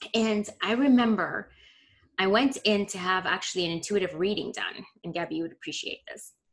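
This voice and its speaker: A plain, everyday voice from a woman at medium pitch, with ordinary pitch variation, a fairly quick pace and big swings in loudness. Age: 40s. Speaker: holistic nutritionist and women's health coach. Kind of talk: casual chat.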